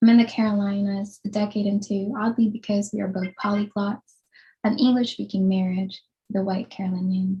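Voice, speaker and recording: This woman's voice is somewhat breathy, with a dark, mellow tone and monotone, flat intonation. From Philippines. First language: Tagalog. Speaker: writer. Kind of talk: reading aloud. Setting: video call.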